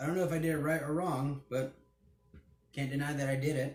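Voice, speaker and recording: Fairly high for a man, this somewhat breathy voice keeps a fairly even intonation. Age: 20s. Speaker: hobby YouTuber. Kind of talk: casual vlog Q&A.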